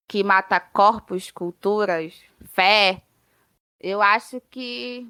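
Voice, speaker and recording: The bright, sharp voice has ordinary pitch variation and a dry, close sound with no echo. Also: woman. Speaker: literature student. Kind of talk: interview conversation.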